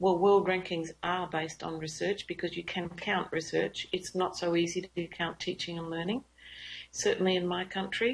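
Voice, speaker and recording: Monotone, flat intonation in an Australian accent at a moderate pace. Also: woman, fairly low pitch for a woman. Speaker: university academic, teaching and learning leader. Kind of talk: lecture.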